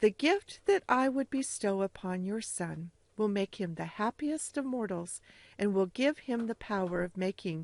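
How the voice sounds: Lively intonation in a natural reading voice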